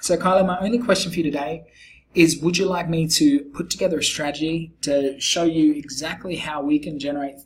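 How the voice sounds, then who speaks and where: Speaking at a fairly quick pace, a man uses a fairly high voice. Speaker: SEO agency founder pitching a client. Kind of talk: screen-recorded sales pitch video. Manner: casual with many fillers.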